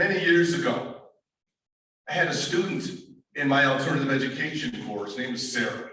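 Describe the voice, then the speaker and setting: A man with a fairly high pitch and lively intonation talks at a moderate pace, leaving long, frequent pauses. Audible room echo surrounds his voice. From upstate New York. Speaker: motivational speaker and professor. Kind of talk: keynote speech. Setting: auditorium with student audience. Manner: animated.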